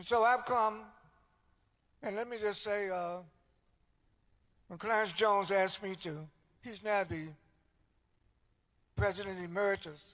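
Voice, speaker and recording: A man with a North Carolina accent and a high pitch, at a moderate pace with long, frequent pauses, ordinary pitch variation and big swings in loudness, on a very clean recording with a silent background. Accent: Southern US (North Carolina). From US South. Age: 70s. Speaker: civil rights leader and minister. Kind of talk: speech at a church service. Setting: church.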